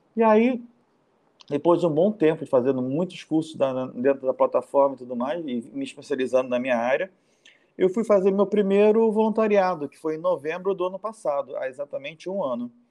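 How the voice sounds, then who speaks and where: At a fairly quick pace, a man talks in a high pitch with a dark, mellow tone. His intonation is lively, with big swings in loudness. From Rio de Janeiro, Brazil. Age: 40s. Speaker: nomadic volunteer traveler. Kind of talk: casual interview.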